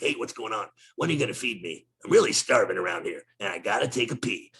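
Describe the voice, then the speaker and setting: This raspy, put-on character voice rattles along at a very fast pace. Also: man. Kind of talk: casual. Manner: whiny, demanding.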